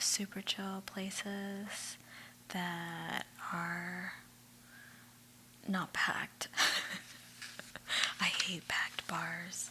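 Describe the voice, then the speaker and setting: Whispering at a very slow pace with long, frequent pauses, a woman is heard over noticeable background noise. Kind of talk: ASMR magazine read-through with chit chat. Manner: soft-spoken.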